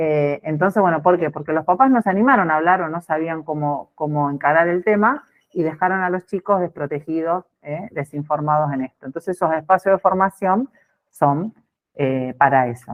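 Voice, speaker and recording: A woman speaks in a fairly low pitch. Her pitch varies in an ordinary way. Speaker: sex education trainer for teachers. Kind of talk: online training talk. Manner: fast.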